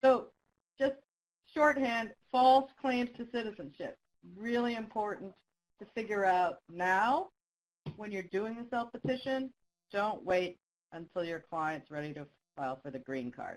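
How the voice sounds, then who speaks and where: With very wide pitch swings, a woman speaks at a fairly slow pace. Long, frequent pauses break up her speech. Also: fairly high pitch for a woman, big swings in loudness. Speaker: immigration law trainer. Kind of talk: interactive webinar presentation. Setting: online webinar. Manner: speaking quietly.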